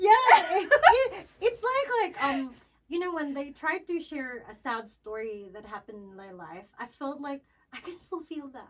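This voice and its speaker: A woman speaks at a fairly slow pace in a Visayan Filipino accent, her loudness swinging widely. Her voice is high-pitched, with very wide pitch swings. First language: Cebuano. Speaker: podcast co-host. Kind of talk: casual chat. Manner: hesitant, many fillers.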